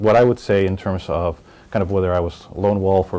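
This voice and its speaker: A man with a Spanish accent speaks very fast in a very deep, low voice with a dark, mellow tone. The background is quiet. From Miami, Florida (born in Colombia). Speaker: business executive. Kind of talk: interview testimony. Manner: relaxed, conversational with many fillers.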